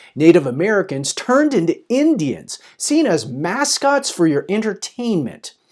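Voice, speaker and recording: Speaking at a moderate pace, a man uses a high pitch with very wide pitch swings. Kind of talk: spoken word poetry.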